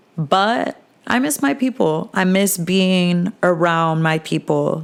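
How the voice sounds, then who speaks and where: A woman speaks with fairly low pitch and ordinary pitch variation. Noticeable background noise runs under her voice. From New Jersey, tri-state area. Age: 20s. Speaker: podcast host. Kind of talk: casual chat.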